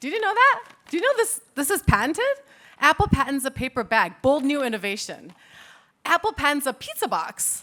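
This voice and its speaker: A woman with an American accent speaks fairly quickly in a raised, projected voice, high in pitch with a bright, sharp tone. Her pitch swings very widely. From United States. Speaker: patent attorney. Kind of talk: conference talk. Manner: casual, conversational.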